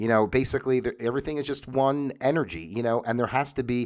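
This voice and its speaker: A man with an American accent on a very clean recording with a silent background. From US Northeast. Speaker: talk show host. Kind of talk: livestream monologue. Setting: home livestream. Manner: casual, halting with many fillers.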